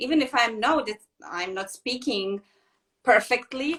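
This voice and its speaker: A woman's raised, projected voice with a bright, sharp tone and very wide pitch swings. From Serbia. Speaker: yoga teacher. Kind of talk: casual interview. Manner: halting.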